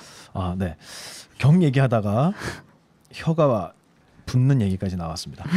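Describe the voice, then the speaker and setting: With a dark, mellow tone and medium pitch, a man talks at a fairly slow pace, his pitch swinging very widely between long, frequent pauses. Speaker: Buddhist monk radio host. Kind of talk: casual chat on Buddhist scripture. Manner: hesitant, many fillers.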